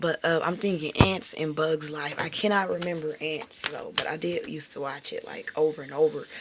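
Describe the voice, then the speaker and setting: A woman talks with fairly even intonation at a fairly low pitch, with noticeable background noise behind her. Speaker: tarot reader. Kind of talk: live tarot reading. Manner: casual, conversational; stuttering at times.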